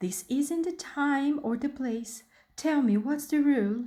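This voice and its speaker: A put-on character voice in a calm, gentle tone at a fairly slow pace. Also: woman, high pitch for a woman. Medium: read story.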